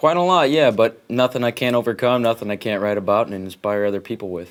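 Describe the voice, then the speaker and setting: Speaking at a very fast pace, a man with an American accent keeps to a medium pitch. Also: ordinary pitch variation. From Oregon, US. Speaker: singer-songwriter. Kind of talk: interview. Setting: studio.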